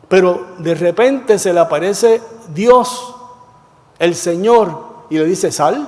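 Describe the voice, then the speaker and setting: A man speaks with a high pitch and lively intonation. Noticeable background noise runs underneath. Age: 70s. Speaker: Bible class teacher, former pastor. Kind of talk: Bible study class. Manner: conversational, question-and-answer with class.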